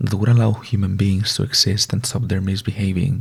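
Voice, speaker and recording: Soft-spoken and gentle in tone, a man with a non-native accent talks at a fairly low pitch with vocal fry. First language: not English. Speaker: ASMR content creator. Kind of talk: ASMR reading of a Greek myth. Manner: soft-spoken, gentle.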